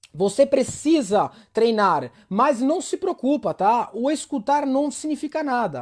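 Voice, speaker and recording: Someone with an Italian accent speaks at a fairly slow pace with lively intonation. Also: man, extremely high pitch for a man. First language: Italian (speaking Portuguese). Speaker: Italian language teacher. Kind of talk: online live language lesson. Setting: livestream.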